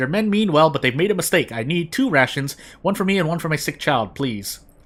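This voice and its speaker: A man puts on a shaky character voice, fairly high in pitch, with very wide pitch swings at a fairly quick pace. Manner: pleading.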